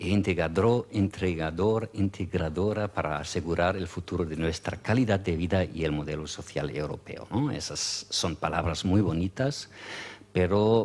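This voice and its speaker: A man with a very deep, low voice speaks at a fairly slow pace with ordinary pitch variation. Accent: German. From Germany. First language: German (speaking Spanish). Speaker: EU official. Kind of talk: conference talk. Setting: conference with audience. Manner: hesitant, many fillers.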